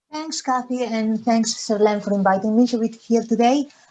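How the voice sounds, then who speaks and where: A dark, mellow tone with fairly even intonation, in a Spanish accent. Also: woman. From Spain, Galicia. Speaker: charity education officer. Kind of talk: webinar presentation. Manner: hesitant, many fillers.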